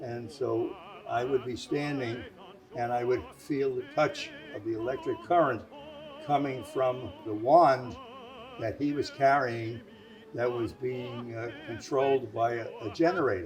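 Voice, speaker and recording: Medium-pitched male voice at a fairly slow pace with ordinary pitch variation, audible room echo and music in the background. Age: 90s. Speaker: WWII navy veteran. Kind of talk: interview testimony. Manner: halting, many fillers.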